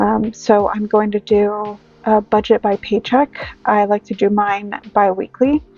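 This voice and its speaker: Music plays in the background as a woman with a fairly high pitch speaks in a monotone, flat intonation, the sound dry and close with no echo. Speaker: budgeting vlogger. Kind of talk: casual tutorial.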